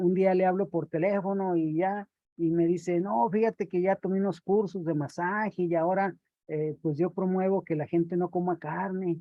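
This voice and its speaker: At a moderate pace, a man talks with a high pitch and fairly even intonation. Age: 60s. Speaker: round-table panelist. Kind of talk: panel discussion. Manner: hesitant, with fillers.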